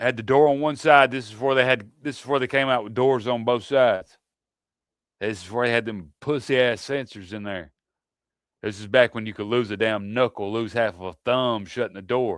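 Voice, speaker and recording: The recording is very clean, with a silent background. A man of medium pitch talks at a fairly quick pace, with ordinary pitch variation and big swings in loudness. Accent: Southern US. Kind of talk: casual chat.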